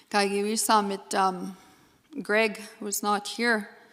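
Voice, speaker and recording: Very slow delivery in a flat, monotone intonation. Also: woman. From Treaty Six territory, Canada (First Nations). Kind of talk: conference presentation. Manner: halting, many fillers.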